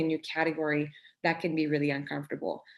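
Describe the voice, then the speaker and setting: A woman with a French Canadian accent. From Quebec, Canada. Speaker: startup founder and CEO. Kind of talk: workshop talk.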